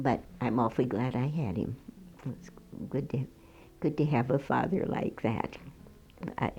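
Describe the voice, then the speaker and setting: Speaking at a moderate pace in an American accent, a woman uses a very deep, low pitch and a dark, mellow tone, with vocal fry and lively intonation. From Minneapolis, Minnesota. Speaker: retired piano teacher. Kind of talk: oral history interview. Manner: halting, with hesitations and restarts.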